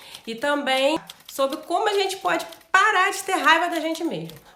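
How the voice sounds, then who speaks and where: A woman with an extremely high pitch uses a raised, projected voice amid audible room echo and noticeable background noise. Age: 40s. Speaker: vlogger. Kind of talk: personal vlog talk. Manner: conversational.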